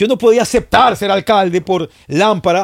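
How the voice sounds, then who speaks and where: This voice belongs to a man and sits high in pitch. The intonation rises and falls in a lively way. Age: 50s. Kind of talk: casual chat.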